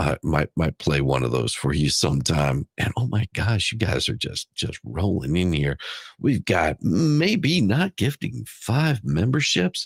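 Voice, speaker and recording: This man has a very deep, low voice with vocal fry, talking at a fairly slow pace with hardly any pauses, his pitch swinging very widely while his loudness stays very even, in a dry, close sound with no echo. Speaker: YouTube livestream host. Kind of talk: casual livestream chat. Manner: halting.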